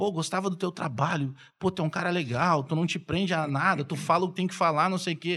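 In a very clean recording with a silent background, a man with a high pitch and a bright, sharp tone talks at a very fast pace with fairly even intonation. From southern Brazil (Rio Grande do Sul, Bagé). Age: 40s. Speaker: sports journalist and radio commentator. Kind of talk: casual chat.

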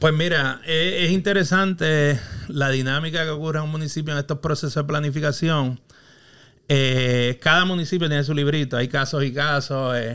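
Bright and sharp in tone, a man's fairly high-pitched voice moves with fairly even intonation. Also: moderate pace. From Puerto Rico, Quebradillas. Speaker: urban planner and consultant. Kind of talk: casual interview. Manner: halting, repeats words.

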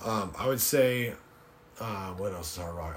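The voice moves at a moderate pace. Noticeable background noise runs underneath. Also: man. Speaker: podcast guest. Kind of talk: casual chat.

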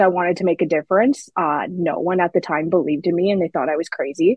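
An ordinary speaking voice with a Canadian accent and fairly even intonation. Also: woman. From Saskatchewan, Canada. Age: 30s. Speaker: policy analyst. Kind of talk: interview.

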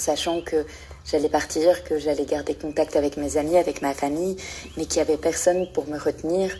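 A woman speaks at a moderate pace in a very deep, low, monotone voice with flat intonation, over noticeable background noise. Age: 20s. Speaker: listener sharing her experience. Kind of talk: recorded voice message monologue. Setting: voice message.

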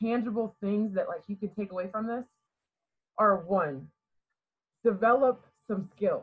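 With an American accent, a woman speaks in a somewhat breathy, medium-pitched voice with ordinary pitch variation and long, frequent pauses. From Garrett County, Maryland. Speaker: college basketball player. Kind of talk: podcast interview. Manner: quiet-natured but articulate.

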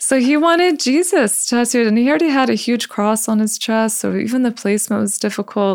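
An unremarkable speaking voice from a woman with an American accent, fairly high in pitch, fairly quick, with lively intonation and very even loudness. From Buffalo, New York. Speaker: tattoo artist. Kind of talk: casual interview.

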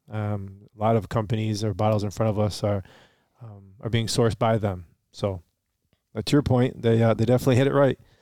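A man speaks in a normal speaking voice, pitched fairly low and delivered at a fairly quick pace. His intonation stays fairly even, and the recording is very clean with a silent background. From Michigan, US. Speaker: podcast co-host, bourbon reviewer. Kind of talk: casual chat, tasting review. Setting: home basement.

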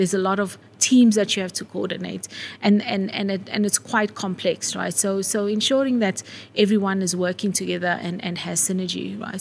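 A somewhat breathy woman's voice at medium pitch and moderate pace. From South Africa, KwaZulu-Natal (Wentworth, Durban). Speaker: marketing executive. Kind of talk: interview. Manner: animated.

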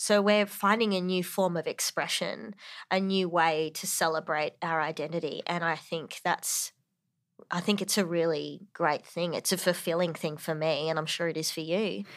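In a very clean recording with a silent background, a woman with an Australian accent speaks at a moderate pace, her fairly low voice carrying fairly even intonation. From Northern Territory, Australia. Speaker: podcast co-host and actor. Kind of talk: casual chat.

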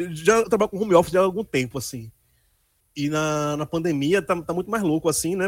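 A man talks at a fairly quick pace in a high pitch. His intonation is lively, and the sound is dry and close with no echo. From Pernambuco, Brazil (Candeias/Recife area). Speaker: journalist and writer. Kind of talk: casual interview.

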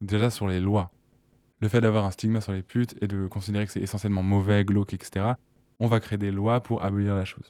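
Fairly low in pitch with a dark, mellow tone, a man speaks at a fairly quick pace in a monotone, flat intonation on a very clean recording with a silent background. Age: 20s. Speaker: sex worker and activist. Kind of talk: interview testimony. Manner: casual, with hesitations.

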